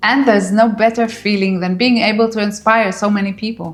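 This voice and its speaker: A woman with a non-native accent talks at a moderate pace and medium pitch. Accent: foreign. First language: not English. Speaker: YouTuber, former psychologist. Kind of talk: vlog monologue to camera. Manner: warm, encouraging.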